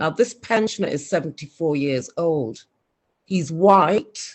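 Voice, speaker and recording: Someone talks at a very slow pace in a Scouse accent. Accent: soft Scouse. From Liverpool, England. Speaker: community speaker. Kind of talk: online community meeting talk.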